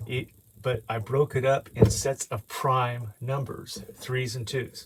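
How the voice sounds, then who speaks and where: A man speaks with monotone, flat intonation. His voice is somewhat breathy. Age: 60s. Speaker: amateur math video maker. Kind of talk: explanatory tutorial. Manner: halting, many fillers.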